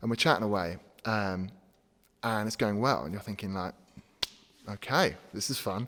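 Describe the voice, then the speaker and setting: With an English accent, a man talks at a fairly quick pace in a fairly low pitch. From England. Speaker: gym owner and podcast host. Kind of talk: casual storytelling. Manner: casual, many fillers.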